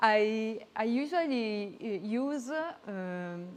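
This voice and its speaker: A woman speaks with an Italian accent. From Italy. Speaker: photographer. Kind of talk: presentation. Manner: halting.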